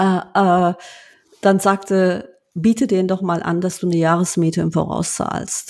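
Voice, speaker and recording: Fairly even intonation carries this fairly slow delivery. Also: woman, medium pitch for a woman. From Germany, Lower Rhine (Duisburg, Rheinberg). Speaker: bank executive. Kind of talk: interview conversation. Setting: home office, remote call. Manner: many hesitations (ähm).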